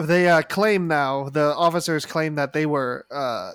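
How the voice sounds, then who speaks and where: A man with a plain, everyday voice speaks at a fairly slow pace and fairly high pitch, with ordinary pitch variation, on a very clean recording with a silent background. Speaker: podcast host. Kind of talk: casual chat about a news event.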